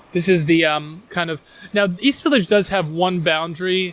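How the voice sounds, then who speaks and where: A man's high-pitched, bright, sharp voice with a New York accent, at a moderate pace and with ordinary pitch variation. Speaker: tour guide and travel writer. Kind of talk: casual walking interview. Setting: outdoors, walking through a park. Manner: hesitant, repeats words.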